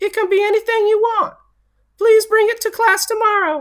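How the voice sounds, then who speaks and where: A put-on character voice, squeaky and extremely high in pitch. It moves at a moderate pace. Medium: read story. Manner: kind, encouraging.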